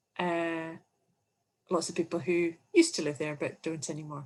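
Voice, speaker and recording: This woman speaks with a Scottish accent. Her pace is moderate. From Scotland. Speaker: English teaching presenter. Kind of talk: webinar presentation. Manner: animated.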